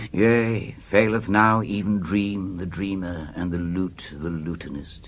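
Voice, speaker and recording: A man with a very deep, low voice speaks very slowly and with fairly even intonation amid noticeable background noise. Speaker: actor. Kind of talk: poetry reading. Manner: dramatic.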